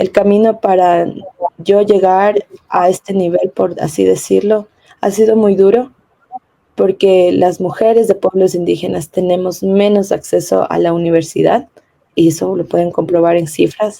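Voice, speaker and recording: A woman with a normal speaking voice talks at a fairly slow pace and medium pitch. Her loudness stays very even, and her intonation is fairly even. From Ecuadorian Amazon, Kichwa community. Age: 20s. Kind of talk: panel discussion interview.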